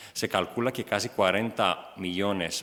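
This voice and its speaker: A man speaks at a fairly slow pace with a Greek accent. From Greece. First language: Greek (speaking Spanish). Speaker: EU press officer. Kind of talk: conference presentation. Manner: halting, many fillers.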